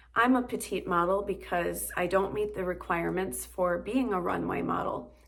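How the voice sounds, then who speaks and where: A woman speaks at a moderate pace with hardly any pauses. Audible room echo is present. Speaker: modeling coach. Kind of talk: tutorial. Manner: casual, with filler words.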